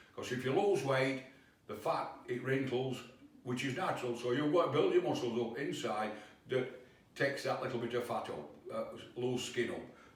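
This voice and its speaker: A man talks at a moderate pace with a medium pitch and ordinary pitch variation. Noticeable background noise is present. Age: 80s+. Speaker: fitness instructor. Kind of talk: home workout instruction to camera.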